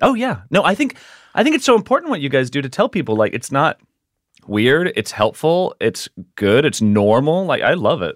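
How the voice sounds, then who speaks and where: Very wide pitch swings from a man with a fairly high voice. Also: moderate pace. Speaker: podcast co-host's husband. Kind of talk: casual chat.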